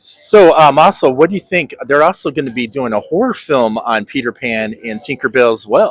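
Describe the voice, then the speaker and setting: There is noticeable background noise as a man speaks at a fairly high pitch with lively intonation. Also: moderate pace. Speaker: podcast host. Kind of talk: interview questions. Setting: convention floor.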